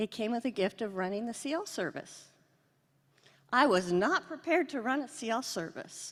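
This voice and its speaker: With a Southern US accent, a woman talks at a moderate pace in a fairly high pitch, her voice making very wide pitch swings. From US Pacific Northwest, Seattle. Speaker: psychiatrist. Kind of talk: award lecture. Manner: casual, conversational.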